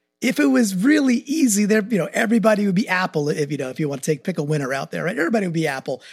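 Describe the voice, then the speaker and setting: Over music in the background, a man with an American accent talks at a very fast pace with hardly any pauses. His high voice swings very widely in pitch. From New York, Long Island. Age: 40s. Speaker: marketing executive, new co-host. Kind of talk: casual chat.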